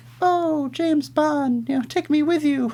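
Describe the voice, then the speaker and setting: Over light background noise, a man does a put-on character voice at an extremely high pitch and moderate pace. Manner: flirtatious, breathy.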